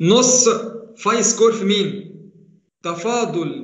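A man talks with an Egyptian accent at a high pitch. His pitch variation is ordinary, and audible room echo surrounds him. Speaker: university engineering lecturer. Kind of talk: online lecture. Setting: online class.

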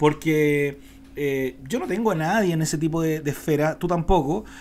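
A man speaks with a Chilean accent and a fairly high pitch. His pitch varies in an ordinary way, with light noise in the background. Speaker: podcast co-host. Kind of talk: casual political chat. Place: home room. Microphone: studio mic.

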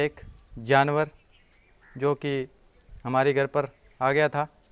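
A man talks with monotone, flat intonation. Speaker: vlogger. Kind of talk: casual vlog chat. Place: street. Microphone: phone near.

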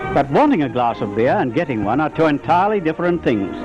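Clear music plays in the background. The speaker talks at a very fast pace. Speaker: newsreel narrator. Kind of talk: newsreel narration.

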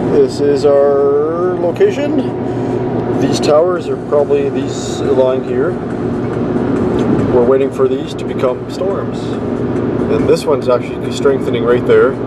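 Over loud background noise, a man talks at a fairly slow pace with ordinary pitch variation and long, frequent pauses. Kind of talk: casual vlog commentary. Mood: hopeful, excited. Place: car. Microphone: phone near.

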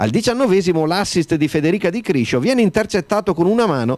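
An energetic man with a high voice talks very fast, his pitch swinging very widely. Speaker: sports commentator. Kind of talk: sports commentary, match report voiceover. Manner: fast, brisk and energetic; crisp, formal, narrating in a steady flow.

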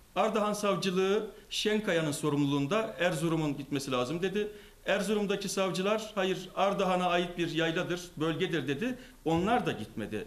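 A man with a high pitch speaks at a moderate pace. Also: ordinary pitch variation. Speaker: politician giving statement. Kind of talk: press statement. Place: hall. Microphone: handheld.

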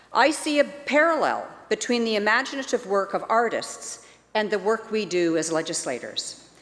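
A woman's fairly high voice with lively intonation, at a moderate pace. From British Columbia, Canada. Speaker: legislator giving a member's statement. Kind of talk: rally speech, a rousing, rhetorical call to imagine a better society. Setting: legislative chamber. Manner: earnest, inspirational, measured and persuasive. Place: hall. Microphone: podium.

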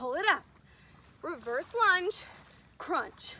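The voice is raised and projected, and the sound is dry with no echo. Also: woman. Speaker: fitness instructor. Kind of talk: workout instruction. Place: beach.

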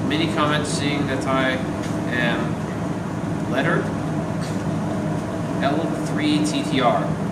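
The man's speech is surrounded by loud noise in the background. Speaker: vlogger. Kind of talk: reading viewer mail aloud. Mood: relaxed, amused. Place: workshop.

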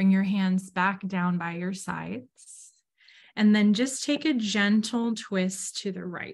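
A woman speaks at a very slow pace in a medium-pitched, somewhat breathy voice with ordinary pitch variation. The background is quiet. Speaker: student speaker and yoga guide. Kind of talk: guided meditation. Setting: video call. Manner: slow, calm, soothing; gentle, instructive. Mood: calm, gentle, soothing. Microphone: video call.

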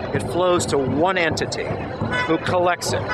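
Music plays in the background of a dry sound with no echo. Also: man. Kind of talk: street speech to camera. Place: street. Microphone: phone near.

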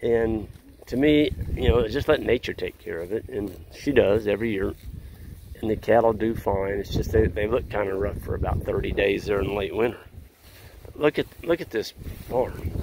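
With long, frequent pauses, a man speaks over noticeable background noise in a dry sound with no echo. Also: ordinary pitch variation, moderate pace. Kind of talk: casual vlog chat. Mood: relaxed, opinionated. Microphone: phone near.

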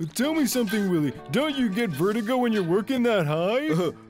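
At a fairly quick pace, a cartoonish character voice with a fairly high pitch plays over clear music in the background. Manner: polite, fussy.

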